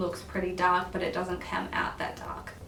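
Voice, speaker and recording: Against noticeable background noise, a woman with an Australian accent speaks at a medium pitch. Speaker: beauty vlogger. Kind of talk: makeup tutorial review.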